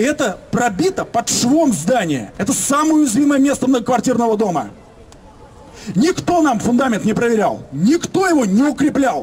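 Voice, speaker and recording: An animated man at an extremely high pitch, with very wide pitch swings over light background noise. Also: moderate pace. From Moscow, Leninsky prospekt; Moscow. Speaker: local resident activist. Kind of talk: public speech at residents' meeting. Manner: animated, indignant. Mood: indignant, complaining. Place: street. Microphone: camera far.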